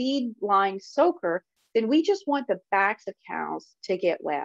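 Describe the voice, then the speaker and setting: A dry, close sound with no echo, carrying very wide pitch swings. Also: woman. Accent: Southern US. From US South. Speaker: dairy industry specialist. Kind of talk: webinar presentation. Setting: online webinar. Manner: casual, with frequent fillers.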